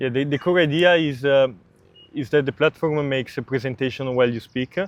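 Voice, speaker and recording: A man's fairly high-pitched voice with an Italian accent and fairly even intonation. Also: fairly quick pace. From Italy. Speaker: startup founder. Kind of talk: interview. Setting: outdoors in a park. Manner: halting.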